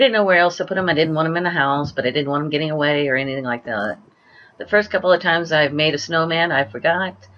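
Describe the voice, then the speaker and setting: Her intonation lively, a woman speaks at a fairly low pitch. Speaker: gamer doing a let's play. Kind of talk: gameplay commentary. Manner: halting.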